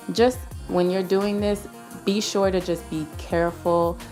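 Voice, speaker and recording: Behind this woman, music is playing. Her intonation is lively. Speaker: beauty YouTuber. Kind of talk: makeup tutorial voice-over. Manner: casual, chatty.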